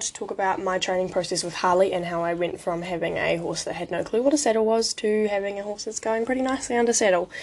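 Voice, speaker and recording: At a very fast pace, a woman talks with lively intonation and a fairly high pitch. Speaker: podcast host. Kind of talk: casual podcast monologue.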